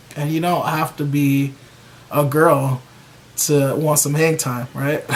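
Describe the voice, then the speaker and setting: Noticeable background noise behind a man's fairly high voice, very slow and in a monotone, flat intonation. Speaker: YouTube hair care vlogger. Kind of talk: casual vlog talk to camera. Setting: at home with a bag over his hair. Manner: loud.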